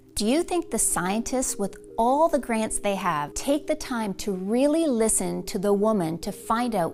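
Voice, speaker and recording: Over music in the background, a woman speaks fairly slowly at a fairly high pitch with hardly any pauses. Her pitch swings very widely. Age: 40s. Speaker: weight loss coach. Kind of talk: sales pitch.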